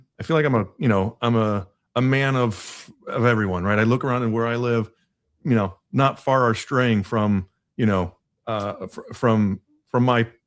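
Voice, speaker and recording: In an American accent, a man talks at a moderate pace, his medium pitch showing ordinary variation. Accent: none noticeable by own account. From US Midwest. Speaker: podcast host. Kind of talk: casual interview chat.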